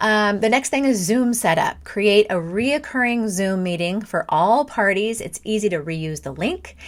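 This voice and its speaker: A woman speaks in a normal speaking voice at medium pitch and a fairly slow pace, with lively intonation, hardly any pauses, and a very clean recording over a silent background. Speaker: direct sales party coach. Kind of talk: tutorial. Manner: casual, with fillers and restarts.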